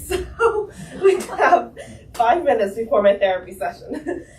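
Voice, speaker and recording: Lively intonation from a woman over noticeable background noise. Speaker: nonprofit founder. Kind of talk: community update.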